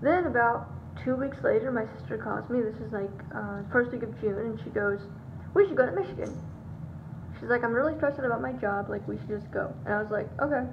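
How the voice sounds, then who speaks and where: A woman speaks at a fairly quick pace. There is noticeable background noise. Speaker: vlogger. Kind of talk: casual vlog chat. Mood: chatty, light. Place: home room. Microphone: phone near.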